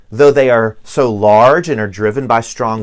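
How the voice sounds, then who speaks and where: The speaker has a Southern US accent and a moderate pace. Pitch variation is ordinary. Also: man. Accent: Southern US, noticeable. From US South (Virginia, Tennessee). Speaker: pastor. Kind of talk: sermon. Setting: church.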